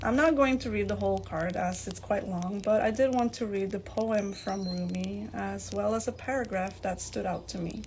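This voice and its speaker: With a non-native accent, the speaker talks at a moderate pace amid audible room echo. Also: woman. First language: not English. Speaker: podcast host. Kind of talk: podcast monologue, partly read from notes. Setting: live in a virtual game platform.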